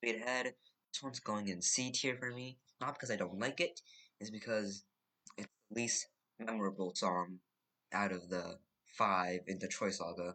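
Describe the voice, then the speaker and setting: A man's fairly low, bright, sharp voice at a moderate pace, with ordinary pitch variation and long, frequent pauses. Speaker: gaming YouTuber. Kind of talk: casual commentary ranking songs.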